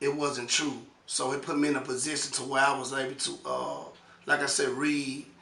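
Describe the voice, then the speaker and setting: In a room with audible echo and noticeable background noise, a man speaks at a moderate pace. His pitch is fairly high and his intonation monotone and flat. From Memphis, Tennessee. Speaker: author interviewed about prison and his book. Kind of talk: casual interview.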